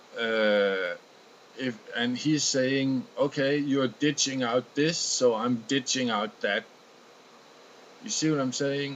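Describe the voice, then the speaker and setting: At a very slow pace, the speaker talks with a Danish accent. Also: man. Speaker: video blogger. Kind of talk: casual monologue. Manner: halting.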